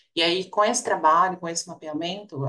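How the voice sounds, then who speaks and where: The voice belongs to a woman. Her pitch is fairly low, with ordinary variation. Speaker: researcher. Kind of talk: panel discussion. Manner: fast.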